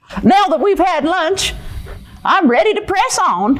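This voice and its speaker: In a cartoonish character voice, a female-sounding speaker talks at a fairly slow pace with an extremely high pitch, light background noise behind her. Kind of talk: puppet show performance. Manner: pessimistic, fretful.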